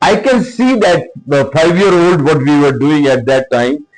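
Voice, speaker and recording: Music can be heard in the background. Over it, a man speaks at a moderate pace. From India, Punjab (Hoshiarpur district). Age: 70s. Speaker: former corporate executive, school leader. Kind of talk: interview. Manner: halting, with many fillers.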